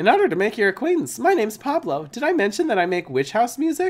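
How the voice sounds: A man does a squeaky, put-on character voice at an extremely high pitch. He talks at a very fast pace with very wide pitch swings.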